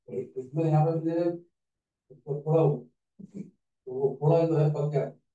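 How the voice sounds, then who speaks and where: Long, frequent pauses break up a man's monotone, flat delivery. His voice has a dark, mellow tone and a fairly high pitch. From Meerut, western Uttar Pradesh. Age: 60s. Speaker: patient. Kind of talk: testimony.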